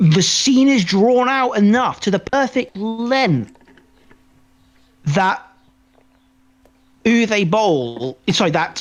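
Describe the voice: At a very slow pace with long, frequent pauses, a man speaks at a high pitch with lively intonation.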